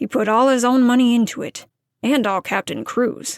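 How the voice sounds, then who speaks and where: A woman puts on a raspy character voice with a fairly high pitch at a moderate pace. The recording is very clean and dry, close with no echo and a silent background. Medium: read story. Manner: brusque, dry, uninterested.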